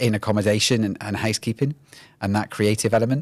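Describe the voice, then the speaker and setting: A man with a Welsh accent speaks at fairly low pitch with fairly even intonation in a very clean recording with a silent background. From Wales. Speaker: HR executive. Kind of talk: podcast interview.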